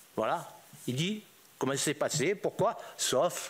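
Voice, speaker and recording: This man has a fairly high pitch, very wide pitch swings and vocal fry. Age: 80s+. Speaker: former drug trafficker testifying. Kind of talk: testimony before parliamentary inquiry. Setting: parliamentary hearing room. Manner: informal street speech, repetitive.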